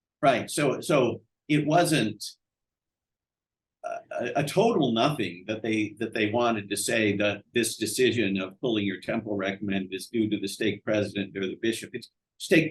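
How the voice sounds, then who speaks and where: A man in an American accent, somewhat breathy and fairly low in pitch, talks at a moderate pace with ordinary pitch variation. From US Midwest, Madison, Wisconsin. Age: 60s. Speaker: economics professor. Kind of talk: interview. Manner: halting, many repeated words.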